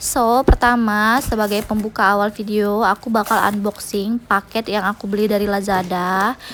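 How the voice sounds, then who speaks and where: Over noticeable background noise, a woman talks at a moderate pace in a fairly high pitch with fairly even intonation. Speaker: home cooking vlogger. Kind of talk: voice-over narration. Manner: casual, chatty.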